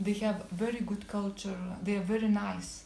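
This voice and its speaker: A woman with a non-native accent and monotone, flat intonation, with audible room echo and noticeable background noise. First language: not English. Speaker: cafe owner. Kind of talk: interview. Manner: halting.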